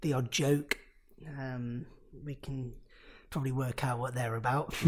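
A man speaks with an East Midlands accent at a medium pitch. His voice is somewhat breathy, with flat, monotone intonation. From Nottingham, England. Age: 20s. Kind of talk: casual interview conversation.

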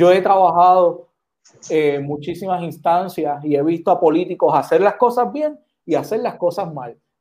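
A dark, mellow tone with a Puerto Rican accent. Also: man, high pitch for a man, ordinary pitch variation, moderate pace. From Puerto Rico. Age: 30s. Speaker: senate candidate. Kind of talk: political interview.

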